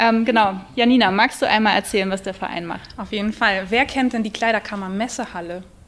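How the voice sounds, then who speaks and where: Fairly high in pitch, a woman with an unremarkable speaking voice talks at a fairly quick pace with hardly any pauses and fairly even intonation. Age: 40s. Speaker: charity press officer. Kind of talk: live podcast interview. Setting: stage with audience at a trade fair.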